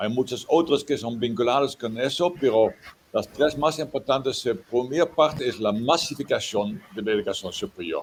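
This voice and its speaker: A man speaks with a Dutch accent at medium pitch. His pace is moderate. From Netherlands. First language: Dutch (speaking Spanish). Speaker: professor. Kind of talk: lecture. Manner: halting.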